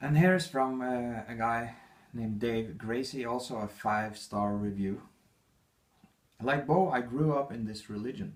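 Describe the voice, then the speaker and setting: There is audible room echo around a man with a non-native accent and medium pitch. He speaks at a moderate pace with ordinary pitch variation. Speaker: author. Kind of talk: reading aloud. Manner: halting.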